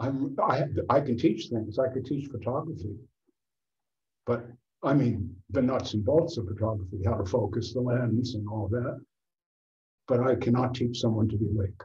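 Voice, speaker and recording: Against audible room echo, a man with a medium-pitched, somewhat breathy voice and a dark, mellow tone speaks at a moderate pace with ordinary pitch variation and long, frequent pauses. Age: 70s. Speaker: author and photographer. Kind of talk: casual discussion.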